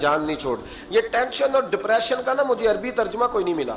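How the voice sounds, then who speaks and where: Noticeable background noise surrounds a man whose high pitch moves in very wide swings. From Pakistan. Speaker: Islamic scholar and preacher. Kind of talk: religious sermon (bayan). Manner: emotional, storytelling.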